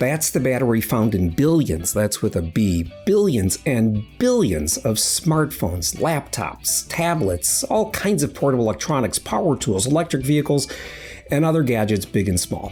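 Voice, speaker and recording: Over music in the background, a man at a medium pitch speaks at a moderate pace with very wide pitch swings and very even loudness. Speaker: science reporter. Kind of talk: podcast narration.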